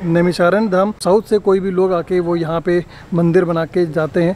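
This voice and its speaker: A man speaks at a moderate pace in a high-pitched voice. The sound is dry with no echo, with light background noise. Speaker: travel vlogger. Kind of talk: casual vlog chat. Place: street. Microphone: phone near.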